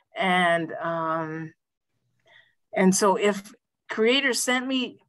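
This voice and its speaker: A woman at a very slow pace, with lively intonation. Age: 60s. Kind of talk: panel discussion.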